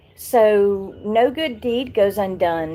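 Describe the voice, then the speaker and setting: A woman speaks with a Southern US accent and ordinary pitch variation. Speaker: YouTuber. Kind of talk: live stream chat. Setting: live stream.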